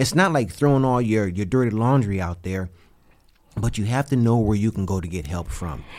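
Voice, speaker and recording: Using a plain, everyday voice, a man with a fairly low pitch talks at a fairly quick pace with lively intonation. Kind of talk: casual devotional chat.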